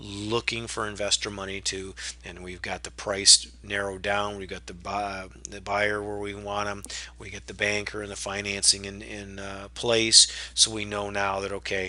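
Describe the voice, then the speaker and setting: A man with a fairly low pitch and a bright, sharp tone. His intonation is fairly even, while his loudness swings widely. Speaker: real estate investor. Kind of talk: webinar presentation. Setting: webinar. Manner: fast.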